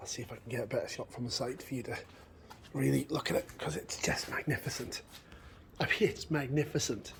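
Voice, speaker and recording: A man's voice is somewhat breathy and fairly high in pitch. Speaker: car channel vlogger. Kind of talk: casual vlog walkthrough. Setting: workshop.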